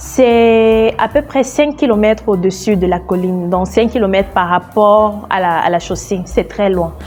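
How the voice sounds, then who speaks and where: A woman with a Cameroonian accent, medium pitch, fairly slow pace, and music in the background. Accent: Cameroonian French accent, noticed by Kenyans. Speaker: travel vlogger. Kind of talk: travel vlog narration. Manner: casual, chatty.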